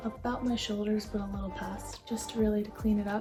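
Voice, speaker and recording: A woman talks quietly at a fairly quick pace in a fairly high voice. Music plays in the background. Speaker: lifestyle vlogger. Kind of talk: casual vlog chat. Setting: at home at night. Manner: speaking very quietly.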